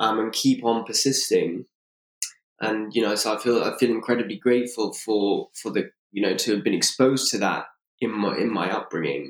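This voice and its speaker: Medium in pitch, a man's voice moves at a moderate pace. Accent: London. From London, England. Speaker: co-living entrepreneur. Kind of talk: interview. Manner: frequent fillers and restarts.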